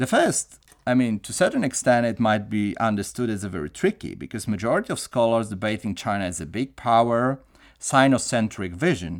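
A man's fairly quick speech is captured on a very clean recording with a silent background. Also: medium pitch for a man, lively intonation. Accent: Polish. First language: Polish. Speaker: professor. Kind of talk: lecture. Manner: formal.

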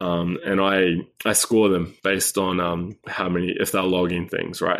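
In a New Zealand accent, a man speaks at a moderate pace with a very deep, low pitch and monotone, flat intonation against a quiet background. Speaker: health coach. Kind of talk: interview conversation.

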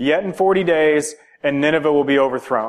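A man puts on a character voice, pitched fairly high and moving at a moderate pace. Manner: disdainful.

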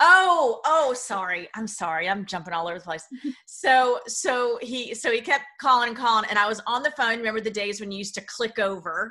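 A woman talks at a fairly quick pace with lively intonation and a fairly high pitch. It is a normal speaking voice. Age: middle-aged. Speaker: author. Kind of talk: interview.

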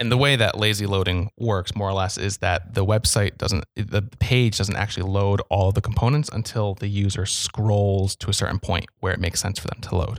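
A man with a plain, everyday voice and fairly low pitch talks at a moderate pace with fairly even intonation and hardly any pauses, in a dry, close sound with no echo. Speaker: podcast co-host. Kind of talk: casual chat.

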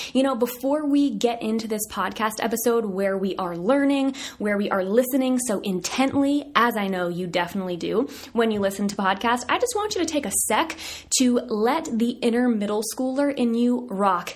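An animated, fairly high-pitched woman's voice with lively intonation at a moderate pace. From US South, southern Virginia. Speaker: podcast host, dietitian. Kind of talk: casual chat. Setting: office.

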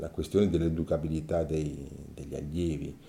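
A man's dark, mellow tone. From Ticino, Switzerland (Mendrisiotto). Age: 60s. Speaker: former teacher-trainee, interviewee. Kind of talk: personal testimony. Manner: halting, with frequent fillers.

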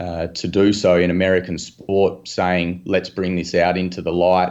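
Against a quiet background, a man with an Australian accent talks at a moderate pace. His pitch is very deep and low, and his intonation is monotone and flat. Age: 30s. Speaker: sports betting analyst. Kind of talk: podcast interview.

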